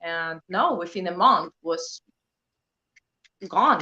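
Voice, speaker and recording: The tone is bright and sharp, with a Polish accent and a dry, close sound with no echo. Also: woman. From Poland. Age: 30s. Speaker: prepping channel creator. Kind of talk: casual interview chat.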